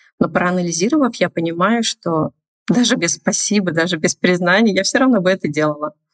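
A woman with an ordinary speaking voice talks at a fairly quick pace and medium pitch, with lively intonation, very even loudness and a dry, close sound with no echo. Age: 30s. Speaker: business founder. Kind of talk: casual chat.

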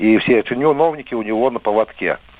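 Amid noticeable background noise, a man speaks at medium pitch. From Belarus, Vitebsk region. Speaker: radio caller, election observer. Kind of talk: call-in to live radio.

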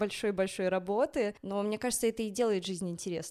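The very clean recording with a silent background holds a woman's unremarkable speaking voice. Her pitch is medium, with ordinary variation. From Belarus, Minsk. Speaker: ballet dancer. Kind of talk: casual chat.

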